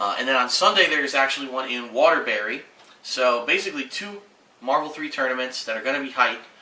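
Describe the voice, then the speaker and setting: A man at a fairly quick pace with ordinary pitch variation, audible room echo and noticeable background noise. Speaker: gaming video creator. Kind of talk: channel update. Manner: halting.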